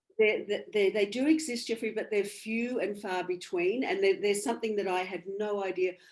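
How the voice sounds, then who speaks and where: With an Australian accent, a woman speaks at a medium pitch, with ordinary pitch variation. Her pace is fairly quick, with hardly any pauses. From Australia, country Victoria. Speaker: bereaved mother and medium. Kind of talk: interview. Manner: halting.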